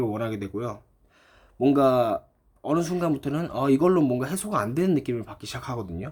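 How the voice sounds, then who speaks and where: A man with an unremarkable speaking voice, medium in pitch, lively in intonation, at a fairly quick pace. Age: 20s. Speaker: YouTuber. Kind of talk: vlog monologue.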